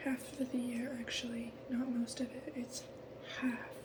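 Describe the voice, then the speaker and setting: Whispered words come at a very slow pace amid noticeable background noise. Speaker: ASMR creator. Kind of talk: casual chat. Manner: whispering.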